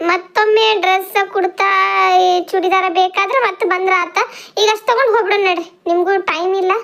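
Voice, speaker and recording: In a cartoonish character voice, a woman speaks fairly slowly at an extremely high pitch with ordinary pitch variation. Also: very even loudness. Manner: chatty.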